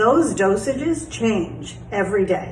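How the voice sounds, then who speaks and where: The clip has an audible room echo and noticeable background noise. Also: woman. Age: 60s. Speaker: health vlogger sharing personal experience. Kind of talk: casual personal explainer monologue. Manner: conversational with frequent fillers.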